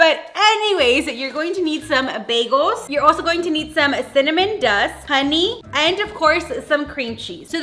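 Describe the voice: A woman with a high pitch uses a raised, projected voice at a fairly slow pace, with hardly any pauses and lively intonation. Noticeable background noise sits behind her.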